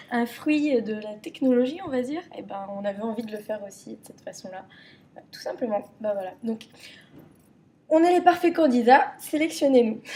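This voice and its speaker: A woman speaks in a Parisian accent with a high pitch. Her pace is moderate, and her pitch swings very widely. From Paris region, France. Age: 20s. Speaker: contestant applicant. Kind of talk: casual chat.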